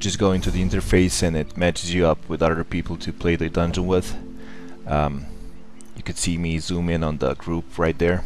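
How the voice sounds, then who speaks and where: A man's very deep, low voice with a non-native accent, music in the background. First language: not English. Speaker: gamer. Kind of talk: gameplay commentary.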